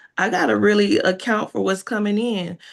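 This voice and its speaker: The speech comes at a moderate pace, with vocal fry. The background is quiet. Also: woman. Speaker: hairstylist and business mentor. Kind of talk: testimony.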